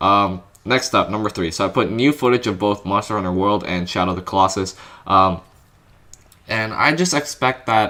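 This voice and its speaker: Very clean recording with a silent background of a man's fairly low voice, bright and sharp in tone, at a moderate pace with ordinary pitch variation. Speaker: gaming YouTuber. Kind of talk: casual talk to camera. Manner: casual, hesitant with fillers.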